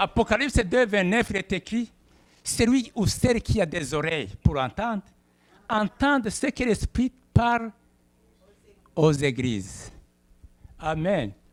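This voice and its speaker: With a Burundian accent and a high pitch, a man speaks at a very slow pace with long, frequent pauses, very wide pitch swings and big swings in loudness, all in a dry, close sound with no echo. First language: Kirundi (speaking French). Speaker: pastor. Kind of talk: sermon. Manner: halting.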